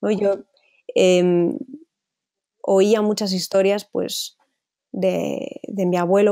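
Her tone dark and mellow, a woman speaks at a medium pitch with fairly even intonation. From Spain (Zaragoza). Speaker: photojournalist. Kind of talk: interview. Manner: halting.

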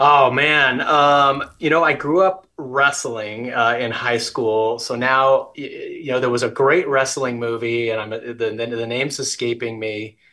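An American accent carries this fairly slow, fairly evenly intoned delivery with hardly any pauses, set against a quiet background. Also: man. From US West. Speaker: business executive. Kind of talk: interview. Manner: frequent filler words. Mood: warm, friendly. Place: home room. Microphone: video call.

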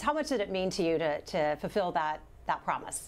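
A woman talks at a medium pitch and a moderate pace. Her pitch swings very widely. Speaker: health show host. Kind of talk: live medical news show. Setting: studio. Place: studio. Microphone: lapel.

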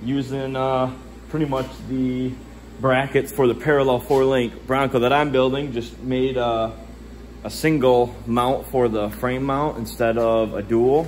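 A man at a fairly slow pace in a monotone, flat intonation, over light background noise. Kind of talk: casual vlog chat. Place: garage. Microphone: phone near.

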